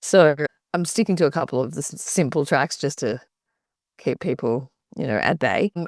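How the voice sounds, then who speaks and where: With an Australian accent, a woman speaks at a moderate pace in a very deep, low voice with lively intonation and long, frequent pauses, recorded very cleanly against a silent background with a dry, close sound and no echo. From Australia, Byron Bay. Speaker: singer-songwriter. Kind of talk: interview.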